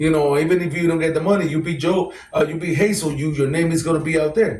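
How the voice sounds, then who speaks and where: With a Puerto Rican accent, a man with a fairly high pitch talks at a very fast pace in a monotone, flat intonation. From Puerto Rico, then North Philadelphia. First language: Spanish. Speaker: celebrity boxer. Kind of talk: interview. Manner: filler-heavy, repetitive.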